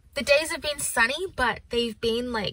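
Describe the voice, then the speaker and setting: The voice has a bright, sharp tone and a dry sound with no echo. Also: woman. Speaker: vlogger. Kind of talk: casual vlog chat. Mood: upbeat, relaxed. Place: car.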